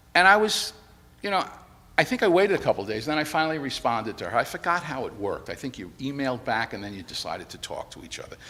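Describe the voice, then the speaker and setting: Bright and sharp in tone, a man with an American accent talks at a very fast pace and a fairly high pitch, with very wide pitch swings, vocal fry and big swings in loudness. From New York City, the Bronx. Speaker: widower giving eulogy. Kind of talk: eulogy. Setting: church memorial service. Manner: conversational, storytelling.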